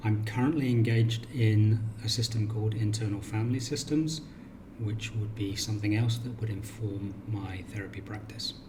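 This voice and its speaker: A man's fairly low voice at a moderate pace with fairly even intonation, audible room echo and noticeable background noise. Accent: British. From England, Cornwall. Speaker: counsellor. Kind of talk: self-introduction video.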